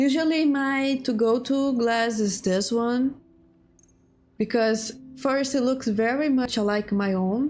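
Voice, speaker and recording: A very slow delivery with a non-native accent, ordinary pitch variation and very even loudness. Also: woman, high pitch for a woman. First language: not English. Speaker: gaming streamer. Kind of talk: gameplay commentary. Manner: halting.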